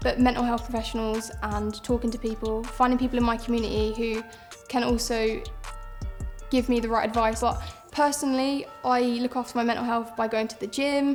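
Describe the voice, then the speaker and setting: With a southern English accent, a woman talks at a fairly quick pace in a fairly high pitch and fairly even intonation, with music in the background. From south east England. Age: 20s. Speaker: footballer. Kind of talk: personal testimony interview.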